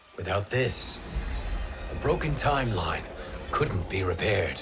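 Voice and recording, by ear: Putting on a character voice, a man speaks fairly slowly with a low pitch, a fairly bright tone and big pitch swings, over faint music in the background.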